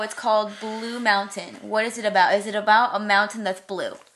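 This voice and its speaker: A woman with an unremarkable speaking voice talks at a moderate pace and fairly high pitch. Her intonation stays fairly even. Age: 20s. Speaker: podcast host. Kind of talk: casual chat.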